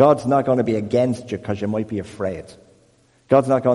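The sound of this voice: Unforced voice reading aloud.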